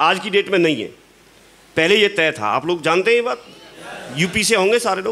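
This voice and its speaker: Over noticeable background noise, a man with a high pitch raises and projects his voice, speaking at a moderate pace with ordinary pitch variation and long, frequent pauses. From Uttar Pradesh, India. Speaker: network marketing leader. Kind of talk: motivational talk. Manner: animated.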